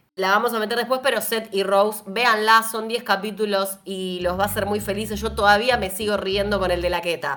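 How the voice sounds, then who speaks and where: A woman talks at a fairly quick pace with hardly any pauses, her tone animated as well as bright and sharp. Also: medium pitch for a woman. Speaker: podcast host. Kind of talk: casual chat.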